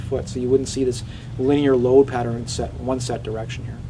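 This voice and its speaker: A man rattles off his words very fast, noticeable background noise and audible room echo all around. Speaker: chiropractor and anatomy educator giving a talk. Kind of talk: presentation with audience questions. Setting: running store presentation with audience. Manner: fast when excited; animated.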